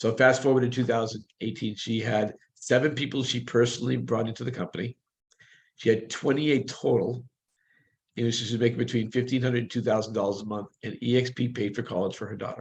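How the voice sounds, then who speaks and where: This man talks very fast in a somewhat breathy voice. His medium pitch stays monotone and flat. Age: 60s. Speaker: real estate broker. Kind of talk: interview.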